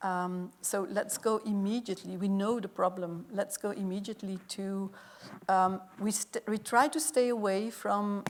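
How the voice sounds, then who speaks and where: A woman speaks at a fairly slow pace with a Dutch accent. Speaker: workshop moderator. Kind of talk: panel discussion. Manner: hesitant.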